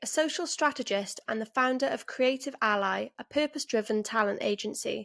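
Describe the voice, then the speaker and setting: Heard in a very clean recording with a silent background and a dry, close sound with no echo, a voice with a Welsh accent moves at a moderate pace with lively intonation. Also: woman. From Wales. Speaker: podcast host. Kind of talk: scripted intro.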